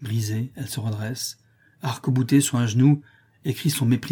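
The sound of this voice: Unforced voice reading aloud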